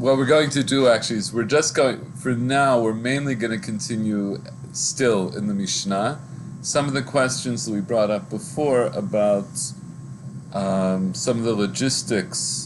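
Against noticeable background noise, a man speaks at a fairly slow pace with ordinary pitch variation. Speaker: teacher. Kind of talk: lecture. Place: home room. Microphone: webcam.

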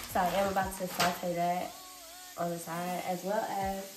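A woman talks over loud background noise. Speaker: home cooking vlogger. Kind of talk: casual vlog chat. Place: kitchen. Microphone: phone near.

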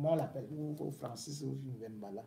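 Light background noise behind a man speaking at a moderate pace. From Cameroon. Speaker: political commentator. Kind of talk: angry rant, accusatory political tirade. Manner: indignant, scolding, hammering commands at the target; emphatic, repeating words for stress. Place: home room. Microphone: phone near.

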